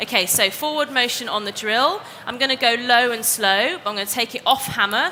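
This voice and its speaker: Noticeable background noise sits behind the recording. A woman with a high pitch and ordinary pitch variation speaks at a fairly quick pace. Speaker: DIY presenter. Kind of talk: live demonstration. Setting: stage with audience.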